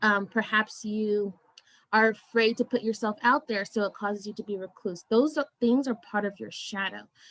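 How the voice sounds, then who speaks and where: A woman's plain, everyday voice, fairly high in pitch, at a moderate pace with fairly even intonation and a dry, close sound with no echo. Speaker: spiritual coach. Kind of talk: interview. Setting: live video stream.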